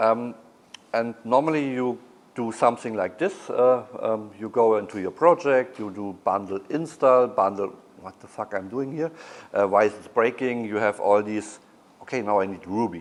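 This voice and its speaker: With a German accent, a man speaks at a moderate pace and a medium pitch, with ordinary pitch variation and big swings in loudness. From Germany. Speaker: conference speaker. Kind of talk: conference talk. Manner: halting, many fillers.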